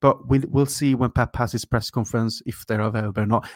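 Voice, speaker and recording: Heard on a very clean recording with a silent background and a dry, close sound with no echo, a man in a plain, everyday voice speaks at a medium pitch with ordinary pitch variation. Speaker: Liverpool fan podcast co-host. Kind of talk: casual chat.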